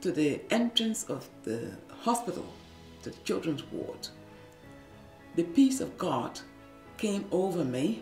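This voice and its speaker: Speaking at a very slow pace with long, frequent pauses, a woman is heard in audible room echo with faint music in the background. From Liberia. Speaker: former nurse and midwife, radio producer. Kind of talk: interview answer. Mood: earnest, emotional recollection. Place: studio.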